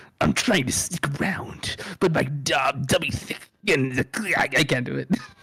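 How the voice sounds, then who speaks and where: At a moderate pace, a man performs a put-on character voice that is raspy and medium in pitch. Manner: gruff, deadpan.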